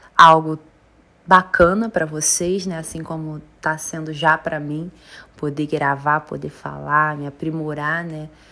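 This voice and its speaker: Against a silent background in a very clean recording, a woman with a very deep, low pitch speaks in a bright, sharp tone at a fairly slow pace. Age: 20s. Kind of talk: casual monologue. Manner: animated.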